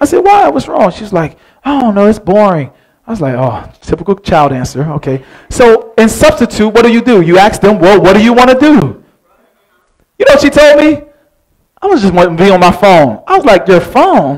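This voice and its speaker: Over a quiet background, a high-pitched man talks fairly quickly with very wide pitch swings. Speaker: pastor. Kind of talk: sermon. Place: church.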